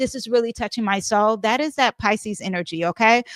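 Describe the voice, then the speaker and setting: A woman talks at a fairly quick pace with fairly high pitch and ordinary pitch variation. The recording is very clean and dry, close with no echo and a silent background. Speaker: astrologer and tarot reader. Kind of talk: astrology forecast monologue. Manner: fast; casual with many fillers.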